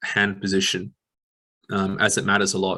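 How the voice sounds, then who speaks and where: A man with an Australian accent talks at a moderate pace, his fairly low voice bright and sharp in tone. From Western Australia. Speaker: exercise physiologist. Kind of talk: lecture. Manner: mumbling.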